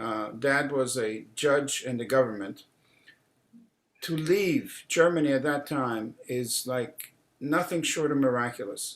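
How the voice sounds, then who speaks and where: Speaking at a very slow pace, a man holds a medium pitch with ordinary pitch variation. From Czechoslovakia. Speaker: clergy leading a prayer service. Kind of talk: casual chat during a prayer service; liturgical announcement. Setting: synagogue service, live broadcast.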